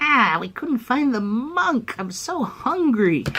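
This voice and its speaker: A female-sounding voice does a put-on character voice, high in pitch and at a fairly slow pace, over clear background noise. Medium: solo performance. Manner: hungry, menacing.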